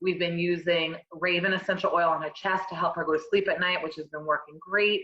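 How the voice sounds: Speaking at a fairly quick pace, a woman with fairly low pitch uses fairly even intonation and a bright, sharp tone.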